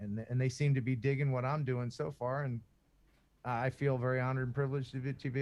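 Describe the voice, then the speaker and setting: Man with an American accent, a normal speaking voice, medium pitch and fairly quick pace. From US Northeast, Philadelphia. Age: 50s. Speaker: YouTuber and former radio broadcaster. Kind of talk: podcast interview.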